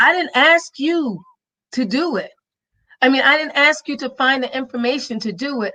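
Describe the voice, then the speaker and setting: Raised and projected, a woman's voice has a bright, sharp, animated tone, a high pitch, lively intonation and a fairly quick pace. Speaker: podcast host. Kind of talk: live stream interview.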